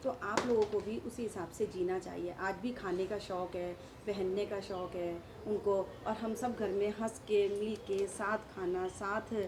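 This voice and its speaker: A woman's medium-pitched voice is heard through noticeable background noise. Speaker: daughter-in-law of interviewee. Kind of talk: interview answer.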